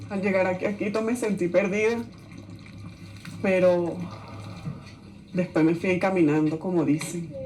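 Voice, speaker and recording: Long, frequent pauses break up fairly slow speech. Behind it, noticeable background noise is present. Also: woman, medium pitch for a woman, ordinary pitch variation. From Venezuela. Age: 40s. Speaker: migrant. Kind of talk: testimony.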